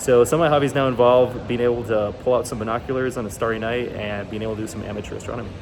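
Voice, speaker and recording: A man at a medium pitch, very fast and with hardly any pauses, fairly even intonation, over noticeable background noise. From Guatemala. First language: Spanish. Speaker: university student. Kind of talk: class presentation speech. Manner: hesitant, with fillers.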